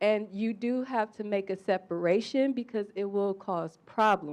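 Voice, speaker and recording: Here a woman speaks with a plain, everyday voice at medium pitch. Her intonation is fairly even, over a quiet background. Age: young. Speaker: audience member. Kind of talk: panel discussion question.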